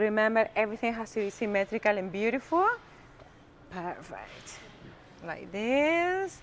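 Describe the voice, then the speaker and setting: Woman with a strong Argentine accent, an animated tone and lively intonation, fairly high in pitch. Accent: strong Argentinian Spanish. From Argentina. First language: Spanish. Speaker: cooking teacher. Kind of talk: live cooking demonstration. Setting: live-streamed kitchen.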